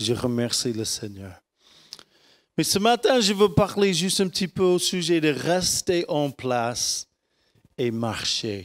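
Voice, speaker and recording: In an American accent, a man with a high pitch speaks at a very slow pace. His pitch swings very widely, and he pauses long and often. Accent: American accent in French, worse than usual. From United States. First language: English (speaking French). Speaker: pastor. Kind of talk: sermon. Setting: church. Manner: halting.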